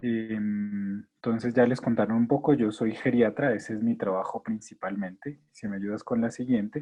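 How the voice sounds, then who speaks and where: A man with a Colombian accent speaks at a moderate pace and medium pitch, with fairly even intonation and hardly any pauses. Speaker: geriatrician. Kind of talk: lecture.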